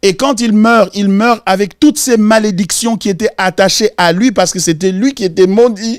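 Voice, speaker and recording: A man with a high pitch and a Congolese accent. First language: Lingala (speaking French). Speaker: pastor. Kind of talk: Bible study teaching.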